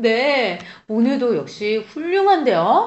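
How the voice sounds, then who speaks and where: The pace of this woman's speech is very slow. Her pitch swings very wide. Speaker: Korean language podcast co-host. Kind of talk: language lesson chat.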